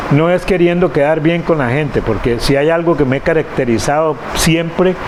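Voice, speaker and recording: A man speaks at a moderate pace and a fairly high pitch, with ordinary pitch variation and very even loudness. Noticeable background noise is present. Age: 60s. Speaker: lawyer. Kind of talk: interview. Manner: halting.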